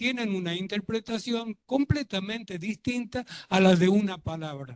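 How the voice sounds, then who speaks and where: A man speaks in a high voice with lively intonation. His pace is fairly slow. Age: 70s. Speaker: audience member. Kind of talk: audience comment.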